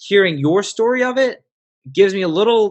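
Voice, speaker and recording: A man with an American accent and a plain, everyday voice. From South Africa, raised in the US from age nine. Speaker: business consultant and podcaster. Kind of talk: casual interview chat.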